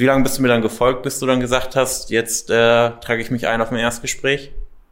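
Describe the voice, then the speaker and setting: A man talks in an ordinary speaking voice at a medium pitch. His pace is moderate. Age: young. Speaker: weight loss coach. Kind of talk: interview.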